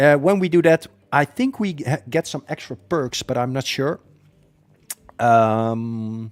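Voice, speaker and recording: Speaking with a slight Dutch accent, a man leaves long, frequent pauses, and the sound is dry and close with no echo. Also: medium pitch for a man, ordinary pitch variation, fairly slow pace. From Netherlands. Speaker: gaming streamer. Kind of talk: live stream commentary.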